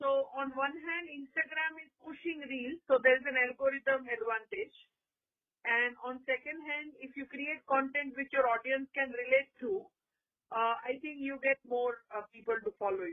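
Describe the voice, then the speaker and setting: A high-pitched woman speaks at a moderate pace with ordinary pitch variation and big swings in loudness. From Gujarat, India (Rajkot, Saurashtra). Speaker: marketing professor and social media influencer. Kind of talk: interview.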